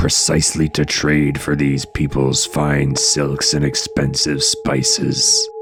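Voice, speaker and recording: Putting on a character voice, this man speaks fairly slowly while clear background noise plays behind him. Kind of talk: dramatic legend narration. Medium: read story. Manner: dramatic, suspenseful.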